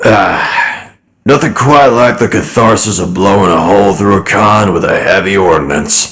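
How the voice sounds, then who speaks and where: A man puts on a character voice with a fairly low pitch. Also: moderate pace. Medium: actual play. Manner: casual, folksy, easygoing.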